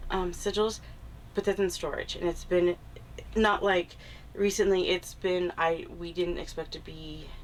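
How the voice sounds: A woman speaks fairly slowly in a fairly low, nasal voice with fairly even intonation.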